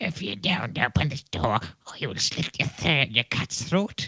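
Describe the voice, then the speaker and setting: The speaker performs a put-on character voice at a low-to-middle pitch. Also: fairly slow pace. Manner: menacing, threatening.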